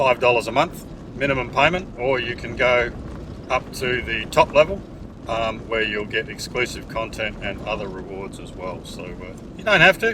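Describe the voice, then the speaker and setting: A man with an Australian accent speaks at a moderate pace in a medium pitch, his intonation lively and his loudness swinging widely over noticeable background noise. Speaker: 4WD YouTuber. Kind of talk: vlog narration. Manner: hesitant, many fillers.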